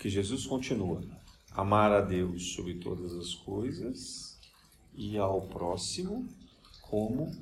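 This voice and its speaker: Audible room echo surrounds a man's fairly low-pitched voice. His intonation is lively. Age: 50s. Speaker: spiritist lecturer. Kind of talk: lecture. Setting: spiritist center.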